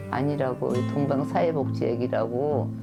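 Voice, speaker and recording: With music in the background, a woman speaks at a moderate pace in a very deep, low pitch. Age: 70s. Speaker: foster mother. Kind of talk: documentary interview answer. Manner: casual, conversational.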